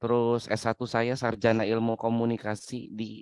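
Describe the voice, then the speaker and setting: The recording is dry and close, without echo. A man speaks at a moderate pace and a medium pitch. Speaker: webinar speaker, doctoral student. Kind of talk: webinar lecture.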